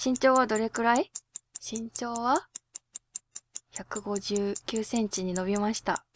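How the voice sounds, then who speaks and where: The tone is relaxed and the pitch varies in an ordinary way, with a dry, close sound and no echo. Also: woman. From Japan, Hokkaido (Abashiri). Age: 20s. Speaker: singer and podcast host. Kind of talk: casual solo radio talk. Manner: relaxed, laid-back.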